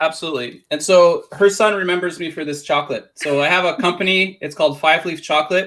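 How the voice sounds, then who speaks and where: On a very clean recording with a silent background, a man with a Canadian accent speaks with fairly even intonation. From Canada. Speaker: print on demand seller and business coach. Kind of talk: interview.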